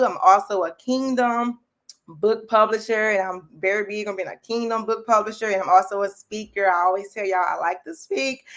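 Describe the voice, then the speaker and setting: A medium-pitched woman with a Louisiana accent, at a fairly quick pace. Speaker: faith-based business and life coach. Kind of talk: livestream chat. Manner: fast; animated.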